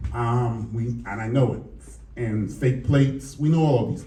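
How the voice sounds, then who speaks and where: Speaking at a medium pitch, a man shows ordinary pitch variation while audible room echo fills the recording. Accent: American. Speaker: police lieutenant. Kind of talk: public forum speech. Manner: conversational, with filler words.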